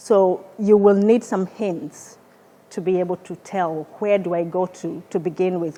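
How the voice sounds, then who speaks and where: A woman speaks in a dark, mellow tone. Her intonation is fairly even. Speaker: research scientist. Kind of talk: presentation. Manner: halting, with repeated words.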